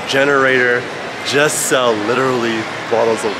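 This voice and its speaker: Music can be heard in the background. Over it, a man talks at a moderate speed. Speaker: travel vlogger. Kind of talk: casual vlog chat. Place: market. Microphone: phone near.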